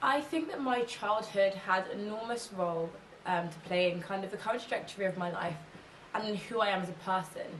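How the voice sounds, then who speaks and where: A woman with an English accent talks at a fairly quick pace, in a medium pitch with ordinary pitch variation. There is noticeable background noise and audible room echo. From England, London. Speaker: ethnographic researcher and policy consultant. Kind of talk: interview monologue.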